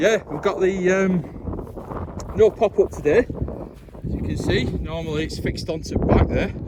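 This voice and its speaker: A man at a moderate pace with long, frequent pauses over noticeable background noise. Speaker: outdoor camping vlogger. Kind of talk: casual vlog commentary. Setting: outdoors on a hilltop, wild camping.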